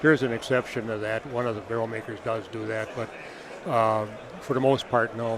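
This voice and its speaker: A man's medium-pitched, monotone, flat voice at a fairly quick pace over noticeable background noise. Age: 70s. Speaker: barrel maker. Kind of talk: interview. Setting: trade show booth.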